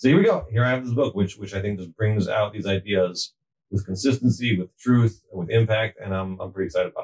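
A very fast, somewhat breathy voice with ordinary pitch variation, big swings in loudness, and a dry, close sound with no echo. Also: man, fairly low pitch for a man. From moved around US East Coast; high school in Atlanta. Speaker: rabbi and family counselor. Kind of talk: casual interview. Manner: halting, repeats words.

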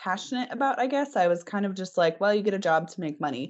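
A woman speaks in an ordinary speaking voice of medium pitch. Her pace is fairly quick and her intonation lively. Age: 20s. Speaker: assistant editor of a horse magazine. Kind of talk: interview. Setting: podcast recording.

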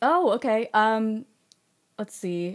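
It is a plain, everyday voice with lively intonation, recorded very cleanly against a silent background. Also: woman. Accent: American. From Texas, Austin. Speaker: sound designer and game composer. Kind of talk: interview conversation.

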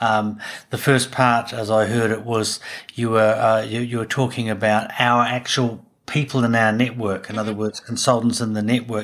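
In a New Zealand accent, a man at a medium pitch speaks with monotone, flat intonation at a moderate pace, in a very clean recording with a silent background. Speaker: podcast host and business consultant. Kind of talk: interview. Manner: halting.

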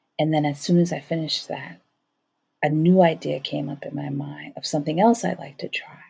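Talking at a fairly quick pace, a woman has a very deep, low pitch, a dark, mellow tone and vocal fry. Her pitch varies in an ordinary way while her loudness swings widely. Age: 40s. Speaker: podcast host. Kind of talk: solo monologue. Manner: conversational.

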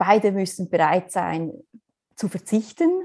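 A woman speaks at a very slow pace. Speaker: missionary. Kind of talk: interview.

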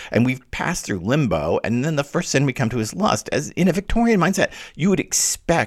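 A man's animated voice with an American accent and vocal fry. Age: 60s. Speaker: literature podcast host, scholar. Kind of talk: solo lecture-style podcast.

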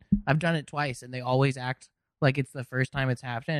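In an unremarkable speaking voice, a man with an American accent speaks at a medium pitch with fairly even intonation, in a dry, close sound with no echo. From Los Angeles, California. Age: 20s. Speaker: comedian. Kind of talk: casual chat.

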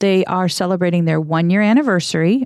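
A woman speaks with an American accent and fairly even intonation in an ordinary speaking voice. The recording is very clean with a silent background and a dry, close sound with no echo. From Minnesota, Saint Paul. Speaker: publisher and podcast co-host. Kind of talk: casual chat. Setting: studio.

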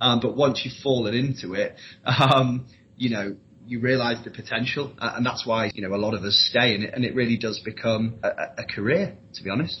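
A man at a medium pitch, at a fairly quick pace, with fairly even intonation. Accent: Yorkshire. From Leeds, northern England. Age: 20s. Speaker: recruitment consultant. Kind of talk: interview.

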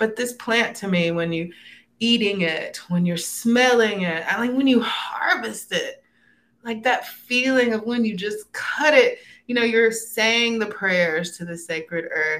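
A woman with an American accent, bright and sharp in tone, animated, fairly high-pitched, at a fairly slow pace with lively intonation. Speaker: herbalist and holistic educator. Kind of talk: casual interview.

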